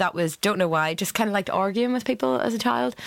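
A woman speaks with a Northern Irish accent on a very clean recording with a silent background. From Northern Ireland. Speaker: cookery workshop leader and caterer. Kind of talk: casual chat.

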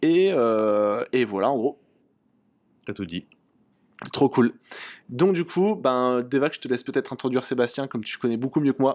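With lively intonation and long, frequent pauses, a man at a medium pitch talks at a moderate pace on a very clean recording with a silent background. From southeastern France. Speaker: podcast host. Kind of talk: casual chat.

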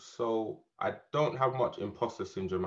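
A man is talking here. He keeps to a fairly slow pace. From Jamaica. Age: 30s.

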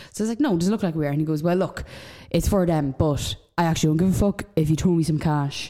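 A woman's fairly low voice with an Irish accent, very fast in pace and very even in loudness. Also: ordinary pitch variation. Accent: Irish, Dundalk, noticeable. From Dundalk, Ireland. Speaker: podcast co-host. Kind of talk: casual banter. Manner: jokey, chatty.

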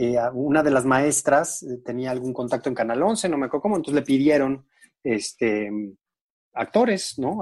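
Over a quiet background, a man with an unremarkable speaking voice talks at a moderate pace and medium pitch with ordinary pitch variation. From Mexico, San Luis Potosí. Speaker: TV food and travel show host. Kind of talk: casual interview chat.

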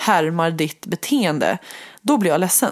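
A woman speaks with lively intonation. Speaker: podcast co-host, one half of a couple. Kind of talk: intimate relationship conversation. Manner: fast and loud; animated, lively pitch.

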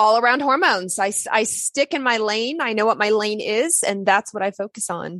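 A woman with an American accent speaks at a moderate pace and fairly high pitch, her tone bright and sharp, with ordinary pitch variation, hardly any pauses, and a dry, close sound with no echo against a quiet background. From US South. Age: 40s. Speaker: naturopathic doctor. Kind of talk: interview.

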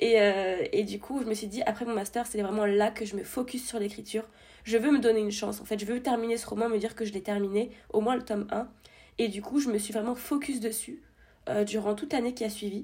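Her voice is fairly high, somewhat breathy and dark and mellow in tone. She speaks at a fairly quick pace with fairly even intonation. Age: 20s. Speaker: debut novelist and escape game staffer. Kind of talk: casual interview chat.

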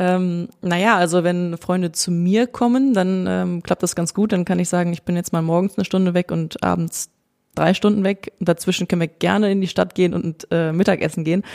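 A woman talks at a fairly quick pace in a normal speaking voice, with fairly even intonation. The sound is dry and close, with no echo. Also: fairly low pitch for a woman. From Germany, Cologne. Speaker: professional footballer, goalkeeper. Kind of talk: interview.

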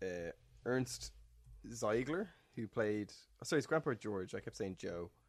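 A man's fairly low voice with an Irish accent, lively intonation, a fairly slow pace and long, frequent pauses. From Ireland. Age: 30s. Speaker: podcast co-host. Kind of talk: casual chat.

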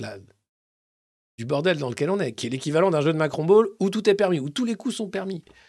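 A man speaks at a high pitch and a fairly quick pace. His tone is animated and his intonation lively. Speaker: satirical press review host. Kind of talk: comedic live press review. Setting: YouTube live stream.

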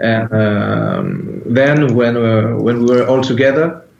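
A man with a French accent speaks at medium pitch with fairly even intonation, amid noticeable background noise and audible room echo. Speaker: metal band founder and musician. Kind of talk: interview. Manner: halting, hesitant non-native English.

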